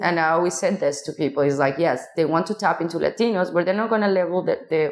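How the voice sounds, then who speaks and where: A woman with a Mexican accent, fairly low pitch, ordinary pitch variation and a very fast pace. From Mexico, small city. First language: Spanish. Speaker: casting director. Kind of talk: interview conversation. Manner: halting, with fillers and restarts.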